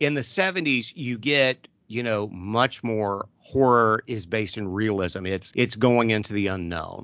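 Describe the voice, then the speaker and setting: A man talks with an American accent at a medium pitch and a fairly slow pace. His pitch varies in an ordinary way, with hardly any pauses. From US Midwest, southern Ohio. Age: 40s. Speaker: pastor and horror podcast co-host. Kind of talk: casual chat.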